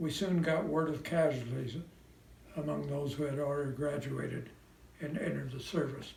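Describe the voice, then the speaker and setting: Man with an American accent, fairly high pitch, fairly even intonation, moderate pace, and long, frequent pauses, with audible room echo and noticeable background noise. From US Midwest, Indiana (South Bend). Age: 90s. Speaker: World War II veteran. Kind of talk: prepared personal message, read aloud.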